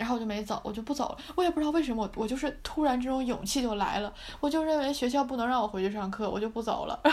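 A woman talks at a very fast pace with hardly any pauses. Her pitch is high, with ordinary pitch variation. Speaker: university student podcast host. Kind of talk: casual chat.

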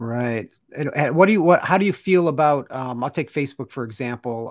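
A man with an unremarkable speaking voice talks at a fairly quick pace. His pitch varies in an ordinary way. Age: 50s. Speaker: podcast host and artist. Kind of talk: casual interview chat. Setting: live stream video call.

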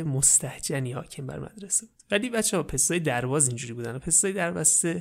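A soft-spoken man, fairly high in pitch, at a very fast pace with very wide pitch swings, on a very clean recording with a silent background. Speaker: storyteller. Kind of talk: parody bedtime story narration. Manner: velvety soft tone.

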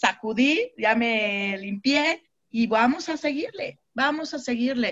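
High female speech, pitch moving in an ordinary way. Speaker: network marketing team leader. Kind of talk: online mentoring session. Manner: animated.

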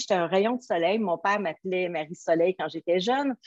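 With a Quebec accent, a woman speaks using lively intonation. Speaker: motivational coach, nutrition product seller. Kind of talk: interview. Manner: animated.

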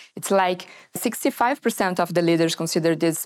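A woman with a Portuguese accent speaks at a moderate pace. Her fairly low voice is captured on a very clean recording with a silent background. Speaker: management consultant. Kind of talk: interview. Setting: studio.

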